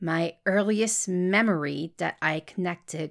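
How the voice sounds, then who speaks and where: A woman with a slight French Canadian accent, fairly low pitch and ordinary pitch variation, on a very clean recording with a silent background. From Montreal, Quebec. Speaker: podcast host and creator. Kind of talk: casual podcast intro monologue. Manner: excited, chatty.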